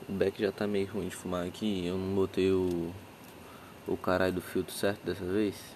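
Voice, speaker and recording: Here a man speaks with a very deep, low pitch. His intonation is monotone and flat, and his pace is moderate. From Brazil, Acre (Rio Branco). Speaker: podcaster. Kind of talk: casual monologue. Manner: relaxed, laid-back.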